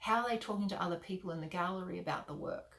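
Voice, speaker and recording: In an Australian accent, a woman talks at a medium pitch. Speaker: artist mentor. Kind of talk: tutorial. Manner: fast.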